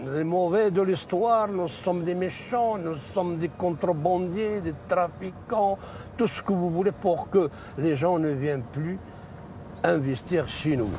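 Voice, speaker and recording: A high-pitched man at a very slow pace, over noticeable background noise. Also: ordinary pitch variation. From Morocco, Rif region. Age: 60s. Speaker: cannabis farmer and activist. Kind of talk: interview. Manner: animated.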